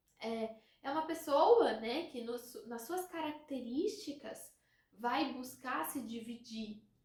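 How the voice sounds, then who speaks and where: With audible room echo around her, a woman speaks at a high pitch in very wide pitch swings. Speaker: relationship coach. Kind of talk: educational talk to camera. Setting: recording a video.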